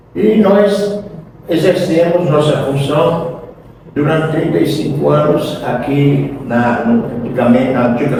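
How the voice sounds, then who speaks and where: A man's very slow speech with lively intonation, amid audible room echo and noticeable background noise. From Brazil, Sergipe (Boquim). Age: 70s. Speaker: retired agronomist and businessman. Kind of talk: radio interview. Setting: on location at a gas station, radio broadcast. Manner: halting, many fillers.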